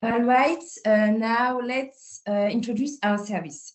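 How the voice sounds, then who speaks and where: In a French accent, a woman speaks at a high pitch. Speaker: psychologist. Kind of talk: webinar presentation.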